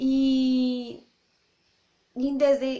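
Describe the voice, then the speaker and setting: A woman with a Spanish accent speaks in a dark, mellow tone. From Colombia, Bogotá. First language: Spanish (speaking Portuguese). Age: 20s. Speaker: language teacher and mother vlogger. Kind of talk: casual vlog introduction.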